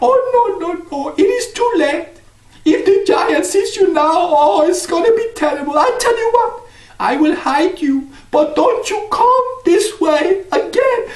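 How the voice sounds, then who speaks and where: A man's put-on character voice, extremely high in pitch, at a moderate pace. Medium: read story. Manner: fretful.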